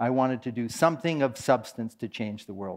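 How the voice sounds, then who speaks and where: With an American accent, a man with an unremarkable speaking voice talks at a medium pitch and a fairly quick pace, his intonation lively against a quiet background. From US West Coast, San Francisco Bay Area. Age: 60s. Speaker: meditation teacher. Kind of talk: conference talk.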